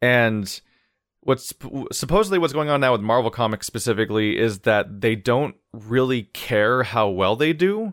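A man with an ordinary speaking voice, medium pitch, ordinary pitch variation and very even loudness, in a dry, close sound with no echo and a very clean recording with a silent background. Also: moderate pace. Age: 20s. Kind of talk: casual chat.

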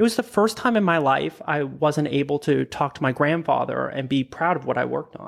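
This man talks at a fairly quick pace with hardly any pauses. The recording is very clean, with a silent background. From Prince Edward Island, Canada. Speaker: product designer. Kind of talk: interview.

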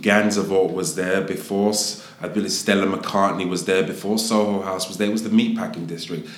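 Noticeable background noise sits behind this recording. A man speaks in a very deep, low pitch. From Southeast London. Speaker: hotel executive. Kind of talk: casual interview.

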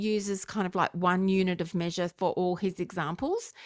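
A woman speaks with an Australian accent at a medium pitch. Her intonation stays fairly even. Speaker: podcast host. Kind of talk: casual banter podcast. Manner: dry, humorous.

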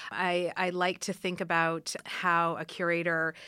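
In a very clean recording with a silent background, a woman speaks at a fairly low pitch with a bright, sharp tone. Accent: Ontario. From Canada, Ottawa area. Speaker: art museum curator. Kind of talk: interview.

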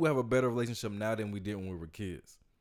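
A man in an American accent, at a very fast pace. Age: 20s. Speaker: podcast host. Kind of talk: casual chat. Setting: studio.

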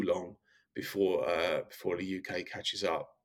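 A man with an Essex accent talks at a moderate pace. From Essex, England. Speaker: reality TV star and boxing manager. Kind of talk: interview.

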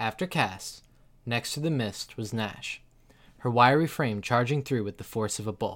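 The pitch rises and falls with ordinary variation. This is reading aloud in a natural voice.

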